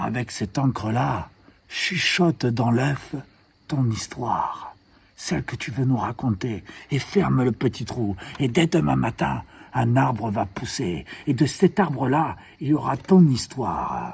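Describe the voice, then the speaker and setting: A man's put-on character voice, medium in pitch, at a fairly slow pace with long, frequent pauses. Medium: read story.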